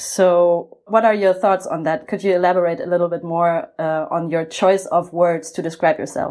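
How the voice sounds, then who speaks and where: A woman with a German accent speaks at a moderate pace with hardly any pauses. Her fairly low voice has a dark, mellow tone and monotone, flat intonation. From Germany. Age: 30s. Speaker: podcast host for a cultural funding program. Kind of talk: interview.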